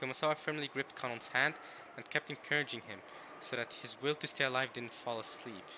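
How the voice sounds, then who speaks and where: Here a man talks at a very fast pace. He has a medium pitch and a non-native accent. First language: not English. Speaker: let's play streamer. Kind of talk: reading aloud with commentary. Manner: animated.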